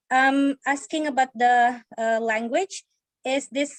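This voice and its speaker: A woman speaks at a fairly slow pace in a high pitch, her intonation fairly even and the sound dry and close with no echo. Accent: Indonesian. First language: Indonesian. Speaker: university lecturer. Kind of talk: webinar audience question. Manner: halting.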